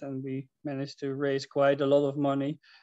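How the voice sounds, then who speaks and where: A dark, mellow tone with a Dutch accent, at a moderate pace, in dry sound with no echo over a quiet background. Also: man. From Netherlands. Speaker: housing cooperative member; presenter. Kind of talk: presentation. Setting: video call. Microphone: video call.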